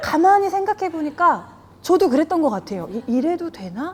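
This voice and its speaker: Her extremely high pitch swings very widely at a fairly quick pace. A woman is heard over noticeable background noise. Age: 40s. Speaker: jiu-jitsu gym owner and instructor. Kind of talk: interview.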